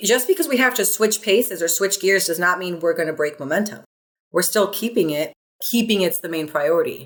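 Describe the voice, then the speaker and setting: A woman speaks at a fairly quick pace in a medium pitch, her animated tone carried by lively intonation. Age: 30s. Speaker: personal trainer. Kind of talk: podcast interview.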